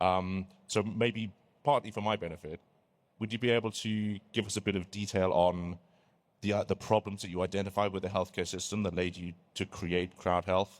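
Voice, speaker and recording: A man with a British accent speaks at a very deep, low pitch. His pace is fairly quick and his intonation fairly even. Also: very clean recording, silent background. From Britain. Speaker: panel moderator. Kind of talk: conference panel talk. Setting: stage with audience.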